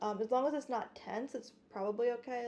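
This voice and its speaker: A soft-spoken woman at a moderate pace, fairly even intonation, and noticeable background noise. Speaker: classical guitarist streamer. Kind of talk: casual livestream chat while practicing. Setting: livestream at home. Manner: halting. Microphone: guitar condenser mics, voice quiet.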